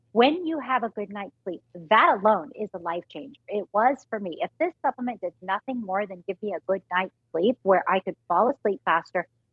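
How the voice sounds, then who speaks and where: A woman's normal speaking voice at medium pitch, with lively intonation, big swings in loudness, a moderate pace and hardly any pauses. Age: 40s. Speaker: fitness and nutrition expert guest. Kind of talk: sales pitch.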